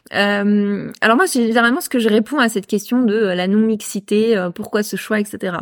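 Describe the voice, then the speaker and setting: Using an ordinary speaking voice, a woman talks fairly high in pitch at a moderate pace with ordinary pitch variation and hardly any pauses. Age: 30s. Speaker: entrepreneur. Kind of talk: casual chat. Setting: host's home.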